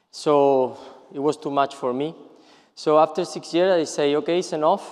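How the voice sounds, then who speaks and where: A man speaks with a fairly high pitch and fairly even intonation. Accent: Spanish. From Spain, Seville. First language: Spanish. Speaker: periodontist. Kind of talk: lecture. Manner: halting, many fillers and repetitions.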